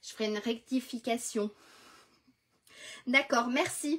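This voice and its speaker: Very slowly and with fairly even intonation, a woman speaks in a high pitch. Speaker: crafts tutorial host. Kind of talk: live crafting tutorial. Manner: casual, chatty with viewers.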